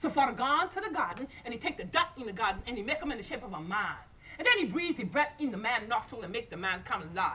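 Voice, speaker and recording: With wide pitch swings and a raised, projected voice, a woman talks at a very fast pace through noticeable background noise. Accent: American. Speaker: storyteller. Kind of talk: live folk storytelling to an audience.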